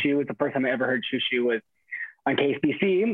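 Here a man speaks with an American accent at a fairly quick pace. His is an unremarkable speaking voice, fairly high in pitch, with ordinary pitch variation. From Inland Empire, Southern California. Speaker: musician. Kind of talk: casual roundtable chat.

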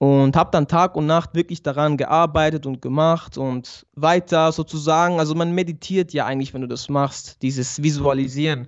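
A man with a normal speaking voice, fairly high pitch, fairly even intonation, moderate pace and hardly any pauses. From Switzerland, Basel. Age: 20s. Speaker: barber and YouTuber, convert to Islam. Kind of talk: interview testimony. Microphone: good audio equipment.

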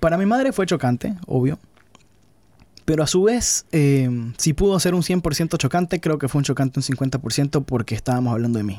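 Heard dry and close with no echo, a man speaks at a moderate pace with a fairly high pitch, a dark, mellow tone and lively intonation. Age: 30s. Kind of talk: interview conversation.

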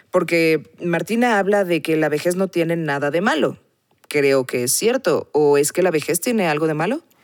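This woman has a normal speaking voice with a fairly low pitch. She speaks at a moderate pace with lively intonation and very even loudness. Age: 40s. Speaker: podcast host. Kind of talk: interview.

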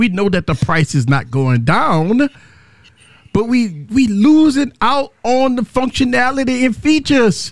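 A man speaks in an animated tone with very wide pitch swings. The sound is dry and close, with no echo. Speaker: livestream tech show host. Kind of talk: casual live show banter. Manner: animated, high energy, profane.

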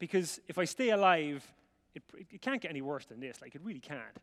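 Very fast and animated, a man speaks in a fairly high pitch with very wide pitch swings. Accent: Irish. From Ireland. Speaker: visiting preacher. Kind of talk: sermon. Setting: church with audience.

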